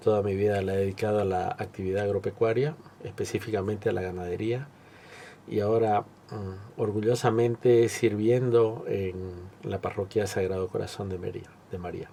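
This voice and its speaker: A man's normal speaking voice at a moderate pace with fairly even intonation. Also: fairly low pitch for a man. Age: 60s. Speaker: cattle rancher and parish volunteer. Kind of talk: testimony interview.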